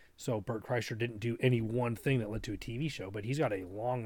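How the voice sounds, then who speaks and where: A man speaks fairly quickly in a somewhat breathy voice of medium pitch, his intonation fairly even. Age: 30s. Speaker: podcast co-host. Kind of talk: casual chat.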